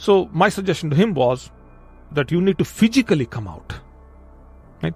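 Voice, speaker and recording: A man with a non-native accent is heard in a dry, close sound with no echo. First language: not English. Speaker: podcast host. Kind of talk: motivational podcast monologue. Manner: repetitive, self-correcting.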